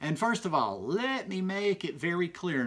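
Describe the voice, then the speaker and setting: Over noticeable background noise, a man with a Southern US accent speaks at a moderate pace in a high pitch with lively intonation. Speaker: YouTuber. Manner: casual, rambling.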